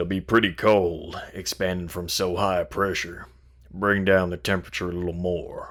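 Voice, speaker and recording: In a put-on character voice, a man speaks at a very deep, low pitch. His intonation stays monotone and flat at a moderate pace. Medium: read story. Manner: matter-of-fact.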